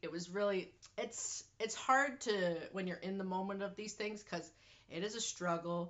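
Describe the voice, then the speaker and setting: An unremarkable speaking voice with a Canadian accent goes at a moderate pace. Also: woman. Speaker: vlogger. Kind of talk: personal health vlog. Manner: casual.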